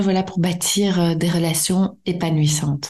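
The speaker is a woman with a dark, mellow tone. Her voice is somewhat breathy. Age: 30s. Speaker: psychologist and podcast host. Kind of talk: solo podcast lecture. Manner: hesitant, many fillers.

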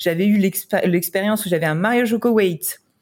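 Using a plain, everyday voice, a woman talks at a medium pitch, her pitch varying in an ordinary way. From France. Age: 30s. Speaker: wedding photographer. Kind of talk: casual interview chat.

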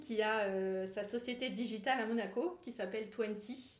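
A woman uses an ordinary speaking voice at a fairly slow pace, with ordinary pitch variation. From Grasse, French Riviera. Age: 20s. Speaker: wedding planner. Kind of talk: casual interview.

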